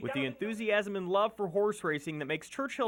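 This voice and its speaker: The speaker is a man with a high pitch. His voice makes very wide pitch swings. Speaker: TV news reporter. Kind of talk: TV news package narration.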